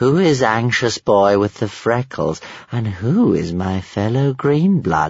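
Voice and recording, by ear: A man does a put-on character voice with a fairly low pitch and a slightly mellow tone carrying a slightly husky edge. His pace is slow and his pitch swings are big.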